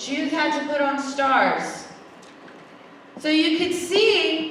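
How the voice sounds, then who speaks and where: A woman with an American accent speaks in a raised, projected voice at a high pitch and an animated tone, with audible room echo and noticeable background noise. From US South, Memphis, Tennessee. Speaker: event speaker. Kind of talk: speech to a school audience.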